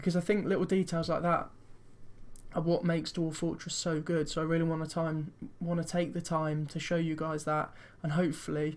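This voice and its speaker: This very clean recording has a silent background. A man talks at a fairly quick pace, high-pitched for a man, in a flat monotone. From Britain. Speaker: video game streamer. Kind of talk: let's play commentary. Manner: fast; casual.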